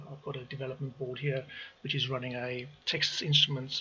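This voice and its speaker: A man at a moderate pace, medium in pitch, with fairly even intonation and noticeable background noise. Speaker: automation engineer. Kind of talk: tutorial. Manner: halting.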